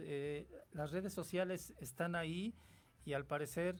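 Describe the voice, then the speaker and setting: This man speaks at a fairly high pitch. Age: 60s. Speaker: radio host. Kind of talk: radio interview. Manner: halting, many fillers.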